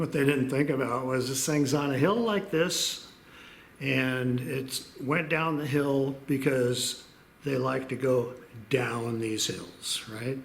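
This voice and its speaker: A man speaks at a very slow pace. Noticeable background noise sits under his voice. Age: old. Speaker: storyteller. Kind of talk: casual storytelling to camera.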